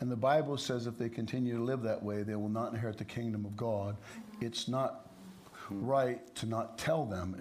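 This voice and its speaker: A man speaks at a medium pitch with fairly even intonation. Audible room echo surrounds his voice. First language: English (speaking German). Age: 60s. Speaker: preacher. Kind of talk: sermon.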